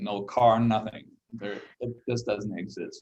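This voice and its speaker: A man of medium pitch with a German accent. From Germany. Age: 60s. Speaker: solar company executive. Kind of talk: interview. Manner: halting.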